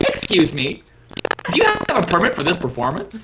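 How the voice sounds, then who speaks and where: High-pitched, moderately paced put-on character voice from a man. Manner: extremely cheery.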